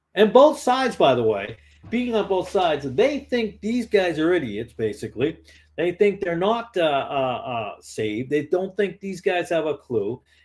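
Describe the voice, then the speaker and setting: A man with an American accent speaks at a moderate pace. His high voice swings very widely in pitch. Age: 50s. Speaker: lay preacher. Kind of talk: informal exhortation to online viewers. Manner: halting, many repetitions and fillers.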